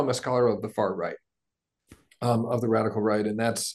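A man's voice over a quiet background. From United States. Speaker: professor. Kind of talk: webinar talk, expository.

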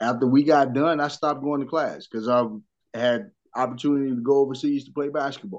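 A man's plain, everyday voice, fairly high in pitch, at a fairly quick pace with fairly even intonation. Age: 30s. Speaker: former basketball player, sports podcaster. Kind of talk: casual chat.

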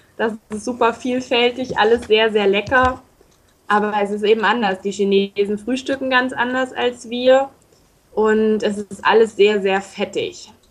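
A woman's fairly high-pitched voice at a fairly slow pace, with fairly even intonation. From northern Hesse, Germany (Baunatal). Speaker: intern abroad. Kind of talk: radio interview. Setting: Skype call.

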